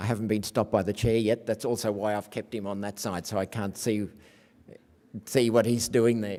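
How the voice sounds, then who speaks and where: A man with an Australian accent speaks at a fairly quick pace in a fairly low pitch, with a dark, mellow tone. His intonation is monotone and flat, and the recording is very clean with a silent background. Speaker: academic researcher. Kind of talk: conference lecture.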